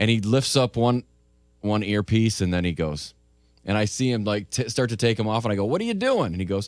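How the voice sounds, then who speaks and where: A man with an unremarkable speaking voice talks in a fairly low pitch with ordinary pitch variation. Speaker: radio morning show host. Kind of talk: casual radio show banter.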